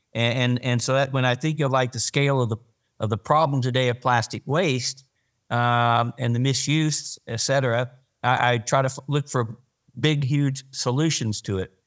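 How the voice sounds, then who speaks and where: A man with an unremarkable speaking voice talks at a moderate pace and medium pitch, with fairly even intonation. The recording is very clean with a silent background, and the sound is dry and close with no echo. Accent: American. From Arkansas, US. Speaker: podcast co-host, plastics industry veteran. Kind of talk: casual interview.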